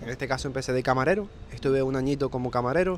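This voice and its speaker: With a Canarian accent, a man speaks very fast at medium pitch. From Canary Islands, Fuerteventura. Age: 20s. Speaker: remote sales closer. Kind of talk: interview.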